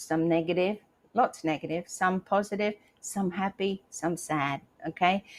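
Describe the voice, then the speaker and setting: Someone talks with an Australian accent. The sound is dry and close with no echo, on a very clean recording with a silent background. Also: woman. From Australia, rural Queensland. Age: 60s. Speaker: motivational live streamer and author. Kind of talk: motivational live stream talk. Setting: live stream. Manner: animated.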